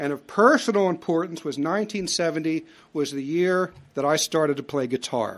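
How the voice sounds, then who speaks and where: Someone with a plain, everyday voice speaks at a moderate pace in a very clean recording with a silent background. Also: man. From US Northeast, Philadelphia. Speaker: lecturer. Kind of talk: lecture. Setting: stage with audience.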